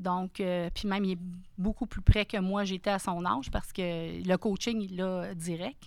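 In a very clean recording with a silent background, a woman with an ordinary speaking voice talks at a fairly slow pace, medium in pitch and fairly even in intonation. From Quebec, Sainte-Thérèse area north of Montreal. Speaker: restaurant franchise owner. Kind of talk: interview conversation.

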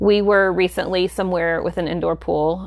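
With an American accent, a woman speaks at a moderate pace. The recording is very clean and the background silent. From US South. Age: 40s. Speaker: podcast co-host. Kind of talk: casual chat.

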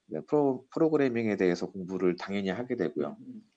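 Lively intonation, a dark, mellow tone and a fairly quick pace. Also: man. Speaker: business consultant. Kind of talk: interview.

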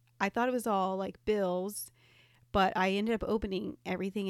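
On a very clean recording with a silent background, an unremarkable speaking voice keeps a moderate pace and fairly even intonation. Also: woman. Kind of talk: casual chat.

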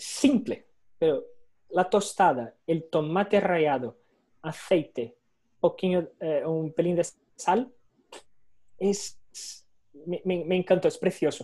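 Using a dark, mellow tone at a high pitch, a man speaks very slowly with long, frequent pauses, big swings in loudness and ordinary pitch variation. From Brazil. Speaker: insurance underwriter. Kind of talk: online talk and Q&A. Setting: video call. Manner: halting.

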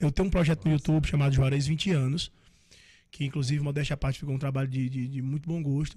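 A man with a fairly high pitch talks at a very fast pace with fairly even intonation. His tone is dark, mellow and somewhat breathy, on a very clean recording with a silent background. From Northeast Brazil, interior. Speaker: forró singer. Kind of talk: casual interview chat.

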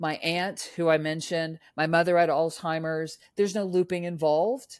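Here a woman with an American accent talks at a moderate pace in an unremarkable speaking voice, fairly low in pitch. The recording is very clean, with a silent background. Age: 50s. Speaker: author and former film marketing executive. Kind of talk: casual interview chat. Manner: chatty, rambling, upbeat.

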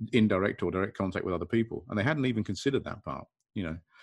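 A man with an English accent talks at a very fast pace with lively intonation. His pitch is fairly low, and the background is quiet. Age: 50s. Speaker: restraint training consultant. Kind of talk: casual video discussion.

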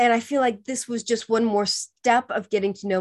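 The speech moves at a fairly quick pace. It comes with an American accent. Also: woman. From California. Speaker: author and publishing strategist. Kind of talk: interview.

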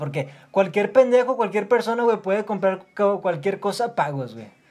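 With a Mexican accent, a man speaks using lively intonation. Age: 20s. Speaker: podcaster, student. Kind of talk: casual monologue. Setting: at home. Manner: fast.

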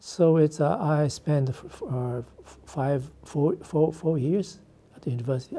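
The speaker has a Japanese accent. The pace is fairly slow. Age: 70s. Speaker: architect. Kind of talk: interview. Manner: halting.

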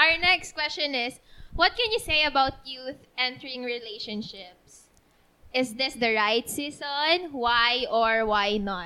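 A woman's raised, projected voice, high in pitch with a bright, sharp tone, lively intonation and a very slow pace. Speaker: podcast host. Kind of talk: casual chat.

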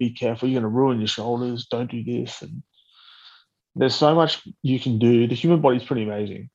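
At a fairly quick pace, a man in an Australian accent talks with a medium pitch. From Australia, Blue Mountains. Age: 30s. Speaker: Paralympic wheelchair rugby player. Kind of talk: casual interview.

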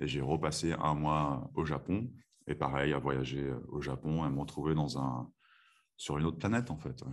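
A man's calm tone, very deep and low in pitch, with vocal fry. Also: ordinary pitch variation, moderate pace. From France (moved from Texas at age 7). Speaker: chiropractor. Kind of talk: interview; guided breathing exercise.

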